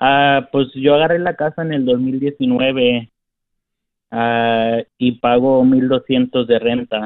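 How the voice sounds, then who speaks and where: At a very slow pace with long, frequent pauses, a man speaks at medium pitch with fairly even intonation. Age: 20s. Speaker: tree worker and caller. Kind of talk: phone call-in question. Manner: halting.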